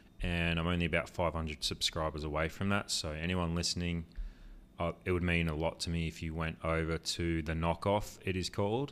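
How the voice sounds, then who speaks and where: A man talks at a fairly quick pace with a very deep, low pitch. His intonation stays fairly even. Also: very clean recording, silent background. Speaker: travel vlogger and podcast co-host. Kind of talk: casual chat. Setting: home recording with microphones.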